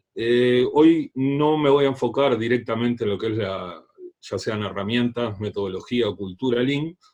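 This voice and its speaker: Speaking with a Uruguayan accent, a man uses a medium pitch and ordinary pitch variation. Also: fairly slow pace. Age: 30s. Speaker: leadership trainer. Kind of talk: talk.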